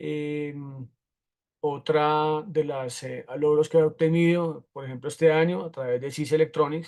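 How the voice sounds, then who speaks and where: Against a quiet background, a man with an ordinary speaking voice talks at a fairly high pitch with fairly even intonation. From Colombia, Bogotá. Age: 40s. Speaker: automotive technical instructor. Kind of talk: lecture.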